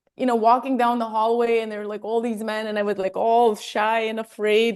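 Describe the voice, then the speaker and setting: Talking at a fairly quick pace, a woman with an American accent has a fairly high pitch. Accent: Armenian-tinged American English. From Armenia. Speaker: health and wellness coach. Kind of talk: interview conversation.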